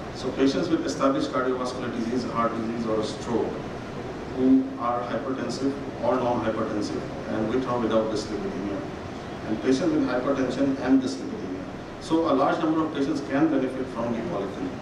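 A man talks at a fairly quick pace with ordinary pitch variation. There is noticeable background noise and audible room echo. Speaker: conference speaker. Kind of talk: lecture. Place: hall. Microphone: podium.

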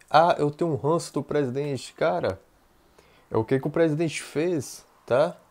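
Fairly high-pitched, a man speaks at a fairly slow pace with ordinary pitch variation. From Brazil, Bahia. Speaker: YouTuber. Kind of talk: political commentary vlog. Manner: halting, many fillers. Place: home room. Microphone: earbuds.

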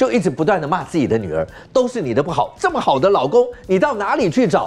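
A man with a high voice talks very fast, his pitch swinging very widely. Background noise is noticeable. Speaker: TV talk show host. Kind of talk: TV talk show discussion. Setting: studio.

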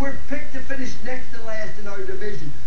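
A man's extremely high voice over noticeable background noise. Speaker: college football coach giving a pep talk. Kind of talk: motivational pep talk to a football team. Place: studio.

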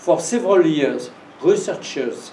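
A man with a French accent amid audible room echo and light background noise. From France. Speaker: professor giving a lecture. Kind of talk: lecture with Q&A. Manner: halting, hesitant English. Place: classroom. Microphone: camera far.

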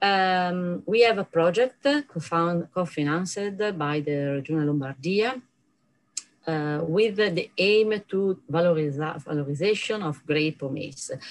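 In an Italian accent, a woman speaks at a very slow pace and a fairly low pitch. Her intonation is lively. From Italy. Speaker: professor. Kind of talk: conference lecture. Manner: halting. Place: office. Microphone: webcam.

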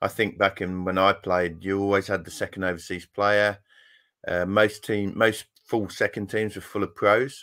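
A man with a fairly low pitch and a bright, sharp tone talks at a moderate pace with monotone, flat intonation over a quiet background. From Yorkshire, England. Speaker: former fast bowler, school cricket coach. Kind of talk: casual interview. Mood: relaxed, reflective. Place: home room.

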